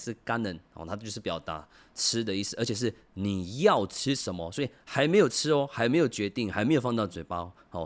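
In a normal speaking voice, a man of medium pitch talks at a fairly quick pace with lively intonation, recorded very cleanly against a silent background. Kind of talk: language tutorial. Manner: conversational, many filler particles.

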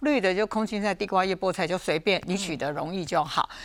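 Noticeable background noise is heard throughout. The talking moves along fairly quickly. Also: woman. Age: 60s. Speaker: food safety expert. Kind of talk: casual health talk show chat.

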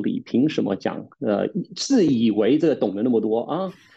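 The speaker is a man with a medium pitch. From Taiwan, with secondary school and university in the UK. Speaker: pastor and theology teacher. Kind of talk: casual chat. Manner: hesitant, many filler sounds.

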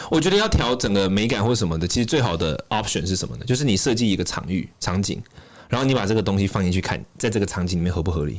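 At a very fast pace, a man talks with lively intonation and a fairly low pitch. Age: 20s. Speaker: Buddhist scholar and author. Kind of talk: casual chat.

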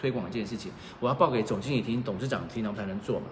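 Speaking very fast, a man is heard with audible room echo and noticeable background noise. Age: 40s. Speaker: former journalist and PR manager, online reseller. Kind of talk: casual chat. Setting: livestream in an apartment.

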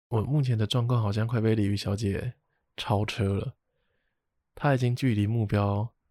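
A man's dark, mellow tone at a moderate pace with long, frequent pauses, fairly even intonation, dry and close with no echo, very clean recording over a silent background. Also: medium pitch for a man. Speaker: podcast host. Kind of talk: casual chat.

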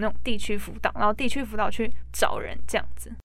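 Very fast speech with audible room echo. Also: woman. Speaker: recent high school graduate, former exchange student. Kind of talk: interview.

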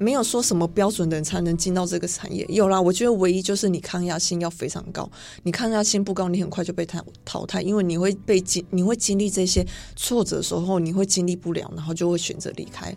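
The woman talks very fast in a medium pitch. Her intonation stays fairly even. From Taiwan. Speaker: fashion model. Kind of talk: radio interview. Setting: radio studio.

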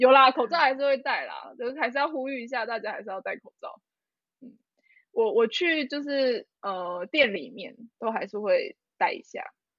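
A woman speaks at a moderate pace in a high pitch, her loudness swinging widely and her pitch ranging very widely. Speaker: podcast co-host. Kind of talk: casual chat. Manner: animated.

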